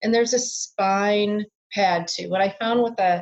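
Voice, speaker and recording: A woman with an American accent has a somewhat breathy, medium-pitched voice and fairly even intonation. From Minnesota, US Midwest. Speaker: biofeedback practitioner. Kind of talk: interview.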